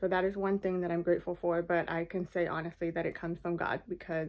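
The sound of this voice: A woman talks at a fast pace in a fairly low pitch for a woman, her tone slightly mellow.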